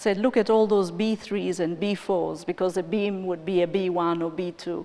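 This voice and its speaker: With an East African accent, a woman speaks at a fairly slow pace in a medium-pitched voice. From Tanzania. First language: Swahili. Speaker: finance and development executive. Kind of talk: conference interview.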